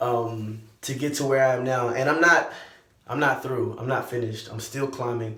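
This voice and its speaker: In an American accent, a man speaks at a moderate pace with monotone, flat intonation. Room echo is audible. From Texas, Lake Jackson. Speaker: vlogger and musician. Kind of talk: personal vlog update.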